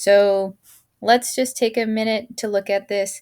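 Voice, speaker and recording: A woman speaks at a medium pitch and a fairly slow pace in an unremarkable speaking voice. The recording is very clean, with a silent background. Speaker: math teacher. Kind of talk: tutorial.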